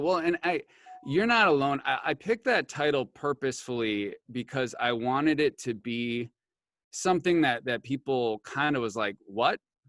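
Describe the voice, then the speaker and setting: The sound is dry and close, with no echo. A man with an Upper Midwest US accent talks at a moderate pace in a fairly high voice with lively intonation. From rural Wisconsin. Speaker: pastor and author. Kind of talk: interview.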